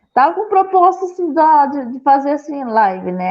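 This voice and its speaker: A woman is speaking. She has an interior São Paulo accent. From interior of São Paulo state, Brazil. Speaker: pastor. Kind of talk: casual interview. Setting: online live stream. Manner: halting.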